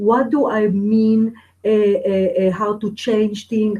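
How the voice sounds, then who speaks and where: A woman with a non-native accent speaks at a very slow pace in a somewhat breathy, fairly high voice. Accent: foreign. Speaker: spiritual teacher and medium. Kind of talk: webinar teaching. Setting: live webinar.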